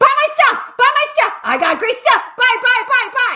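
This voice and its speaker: A put-on character voice with an extremely high pitch, delivered at a moderate pace. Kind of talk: exaggerated sales pitch. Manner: mocking, relentless, repetitive.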